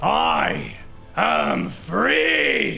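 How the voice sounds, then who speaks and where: Booming over clear background music, a man performs a put-on character voice. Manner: triumphant.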